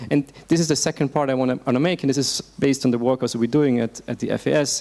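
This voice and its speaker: Very fast delivery keeps a fairly even intonation throughout. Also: man, medium pitch for a man. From Austria. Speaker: policy researcher. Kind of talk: panel discussion.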